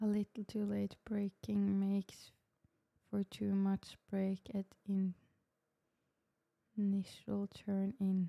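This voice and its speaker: A woman's medium-pitched voice in a Norwegian accent, very slow and monotone, with very even loudness, a dark, mellow tone, long, frequent pauses and a dry, close sound with no echo. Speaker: sim racing streamer. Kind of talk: live stream commentary.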